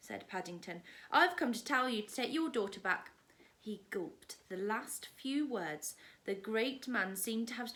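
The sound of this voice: Someone reads in an unforced reading voice.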